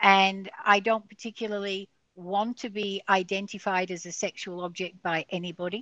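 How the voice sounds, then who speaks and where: A woman with an Australian accent speaks at a medium pitch with ordinary pitch variation. The background is quiet, and the sound is dry and close with no echo. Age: 60s. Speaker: guest sharing a near-death experience. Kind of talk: podcast interview.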